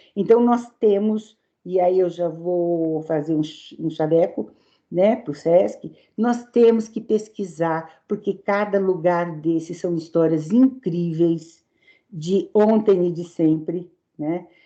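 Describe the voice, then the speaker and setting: Her voice is fairly low for a woman, with a dark, mellow tone, ordinary pitch variation and a very slow pace. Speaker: circus historian. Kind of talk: webinar talk.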